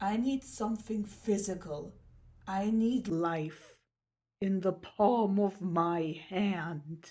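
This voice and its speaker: The delivery is dramatic and very slow, somewhat breathy. The tone is dark and mellow. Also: woman, medium pitch for a woman, ordinary pitch variation. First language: not English. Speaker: artist and crafter. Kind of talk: scripted narration.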